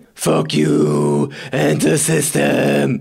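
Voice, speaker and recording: A man uses a put-on character voice that is raspy and very deep in pitch. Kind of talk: reaction stream commentary. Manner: angry, defiant.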